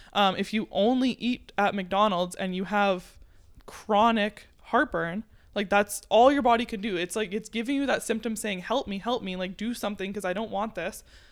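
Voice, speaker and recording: A woman speaks in a normal speaking voice at a medium pitch. Her intonation stays fairly even. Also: moderate pace. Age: 20s. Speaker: chiropractic student. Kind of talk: casual chat.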